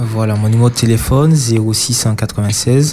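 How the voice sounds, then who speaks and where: Noticeable background noise behind a man's fairly even, medium-pitched speech. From Martinique. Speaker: mobile hairdresser. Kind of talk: radio interview. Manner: halting.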